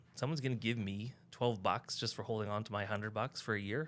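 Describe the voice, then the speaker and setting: A man with a Western Canadian accent talks at a very fast pace, at medium pitch with fairly even intonation. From Canada, North Vancouver. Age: 50s. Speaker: real estate agent. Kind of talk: casual podcast interview.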